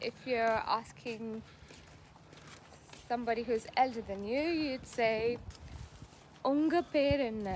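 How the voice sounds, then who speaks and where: Speaking at a very slow pace with long, frequent pauses, a woman uses a high pitch and ordinary pitch variation. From South India. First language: Tamil. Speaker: music TV show co-host. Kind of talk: show presenting; casual language lesson.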